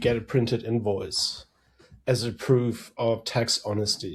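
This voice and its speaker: Speaking at a fairly slow pace with a German accent, a man keeps his intonation fairly even. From Germany. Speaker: threat intelligence strategist. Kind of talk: podcast interview.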